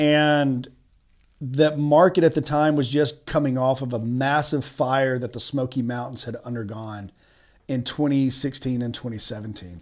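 A man speaks with a Tennessee accent at a moderate pace. His pitch variation is ordinary. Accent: Southern US (Tennessee). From East Tennessee, Chattanooga. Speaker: attorney and real estate investor. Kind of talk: podcast interview.

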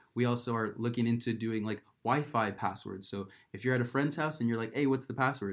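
A man speaks at a fairly quick pace. He has an ordinary speaking voice at a medium pitch. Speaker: startup co-founder. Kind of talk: casual chat.

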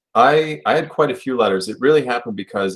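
A man speaks in a Buffalo accent. His pitch swings very widely. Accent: Western New York (Buffalo) American. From Buffalo, New York. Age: 30s. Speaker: writer and publisher. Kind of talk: casual interview.

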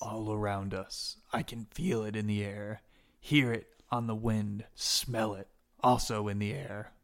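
A man's put-on character voice, fairly low in pitch, at a fairly slow pace. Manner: ominous, theatrical proclamations.

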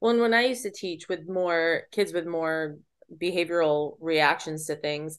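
A woman with an unremarkable speaking voice talks at a moderate pace and a fairly low pitch. The background is quiet. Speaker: special education teacher and podcast host. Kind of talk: casual chat between co-hosts. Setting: virtual recording, remote.

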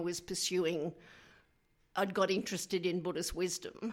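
Her pitch is medium for a woman. She has an Australian accent. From Queensland, Australia. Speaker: memoir author. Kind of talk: radio interview.

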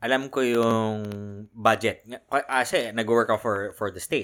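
A man at a medium pitch and a fairly slow pace on a very clean recording with a silent background. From Philippines, Manila (Sampaloc). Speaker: podcast guest. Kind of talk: casual chat. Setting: shared room, two mics for four people.

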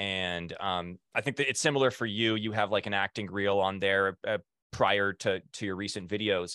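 Using a plain, everyday voice, a man speaks at a fairly low pitch and moderate pace with fairly even intonation. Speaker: podcast host, former TMZ field producer. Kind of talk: casual interview podcast. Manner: casual, conversational, chatty.

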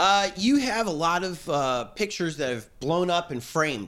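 The man talks at a moderate pace in a high voice. His pitch swings very widely. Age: 50s. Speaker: podcast host. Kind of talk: casual chat. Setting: on location.

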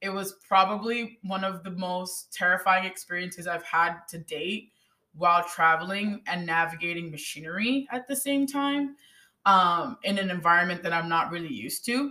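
A woman's animated, bright and sharp voice, with lively intonation at a moderate pace. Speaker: podcast host. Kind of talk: casual conversational podcast, storytelling. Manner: high energy, animated.

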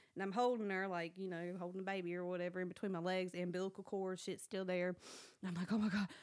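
A woman talks at a very fast pace. She speaks with a Southern US accent. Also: medium pitch for a woman. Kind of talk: casual chat, storytelling. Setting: studio. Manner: animated.

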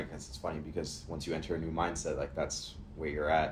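This man's voice is very deep and low and somewhat breathy, moving at a fairly quick pace. Audible room echo hangs around it. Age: 20s. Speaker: podcast co-host. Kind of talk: casual chat.

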